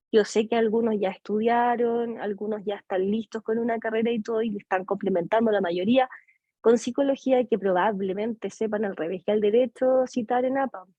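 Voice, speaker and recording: Music plays in the background. Over it, a woman with a fairly high pitch speaks at a moderate pace with fairly even intonation. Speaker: psychology lecturer. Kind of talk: lecture.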